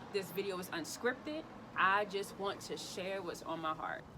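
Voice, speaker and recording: Noticeable background noise sits under a woman's animated tone. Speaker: lifestyle vlogger. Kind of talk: casual vlog monologue. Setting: outdoors. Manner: loud.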